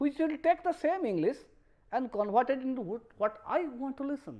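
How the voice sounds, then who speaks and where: A woman's high-pitched voice with a Bengali accent, very wide pitch swings, and a moderate pace. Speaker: professor. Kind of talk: lecture. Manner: halting.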